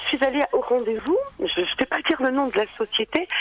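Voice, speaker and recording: Over noticeable background noise, a woman with a high pitch talks at a moderate pace using very wide pitch swings. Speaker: caller, job seeker. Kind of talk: radio call-in. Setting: phone call.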